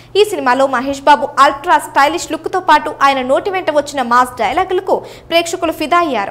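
A woman speaks in a high voice. Her pitch varies in an ordinary way. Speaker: news presenter. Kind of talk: entertainment news voice-over.

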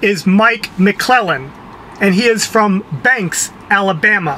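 A man with a high pitch speaks in a raised, projected voice at a fairly slow pace, with ordinary pitch variation. Light background noise can be heard. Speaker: entertainment show host. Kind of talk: casual talk to camera. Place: car. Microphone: phone near.

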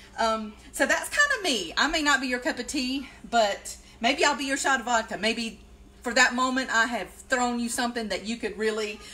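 At a moderate pace, a woman speaks in a high voice. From South Carolina. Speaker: occupational therapist and DIY vlogger; DIY vlogger. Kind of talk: casual live-stream tutorial. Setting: Facebook Live video. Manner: rambling, chatty with fillers. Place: kitchen. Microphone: phone near.

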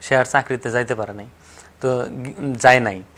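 A man speaks at a medium pitch. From Tangail, Bangladesh. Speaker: local journalist, former air force member. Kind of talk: interview, personal life story. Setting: studio. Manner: halting.

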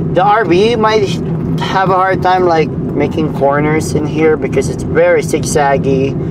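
The speech moves at a very slow pace. Loud background noise runs underneath it. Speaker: driver vlogger. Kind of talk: casual vlog chat. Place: car. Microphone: camera far.

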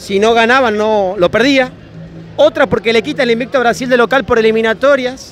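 Against crowd noise in the background, a man talks at an extremely high pitch for a man with very even loudness. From Salta, northwestern Argentina. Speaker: YouTuber doing fan reaction interviews. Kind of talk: vox-pop street interviews with on-camera commentary. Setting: crowded football bar in Buenos Aires. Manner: animated.

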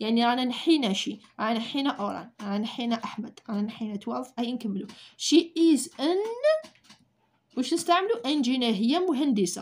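A woman's high-pitched voice with lively intonation and an Algerian accent. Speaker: English teacher. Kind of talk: tutorial. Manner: slow. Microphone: phone near.

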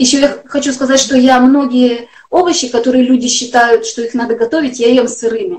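Speaking at a moderate pace, a woman uses a high pitch. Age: 40s. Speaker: health blogger. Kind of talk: interview. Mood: earnest, personal. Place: home room. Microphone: video call.

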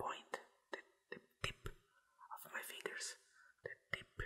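The speaker is whispering. The background is quiet. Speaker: ASMR creator. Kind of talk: soft ASMR tutorial talk. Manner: slow intimate ASMR whisper. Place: home room.

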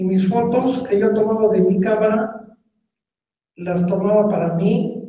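Speaking at a very slow pace, a man with a high pitch and a dark, mellow tone is heard with audible room echo. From Mexico City. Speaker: veteran crime photojournalist. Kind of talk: public talk. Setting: museum auditorium with live audience. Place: hall.

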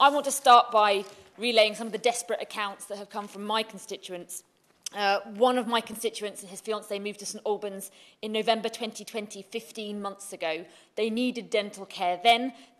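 Monotone, flat intonation at a moderate pace. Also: woman. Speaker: legislator speaking in debate. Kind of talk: parliamentary speech. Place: hall. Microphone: podium.

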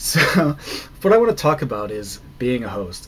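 At a moderate pace, a man speaks with very wide pitch swings over light background noise. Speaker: vlogger. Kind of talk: casual vlog chat. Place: home room. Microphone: webcam.

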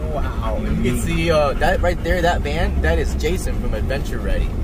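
A man talks at a moderate pace. The sound is dry with no echo, though there is noticeable background noise. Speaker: vlogger. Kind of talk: casual vlog chat. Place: car. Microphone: phone near.

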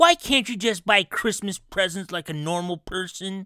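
A put-on character voice at a middle pitch on a very clean recording with a silent background. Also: moderate pace.

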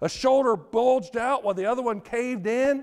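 Over a quiet background, a man speaks at a moderate pace in an extremely high voice. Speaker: preacher. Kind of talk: sermon. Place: church.

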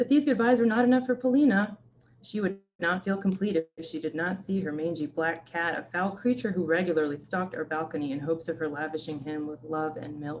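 With an American accent, a woman speaks at a fairly quick pace in a normal speaking voice, her pitch fairly low. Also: lively intonation. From Ukraine. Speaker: novelist and creative writing professor. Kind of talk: author reading and interview. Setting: video call.

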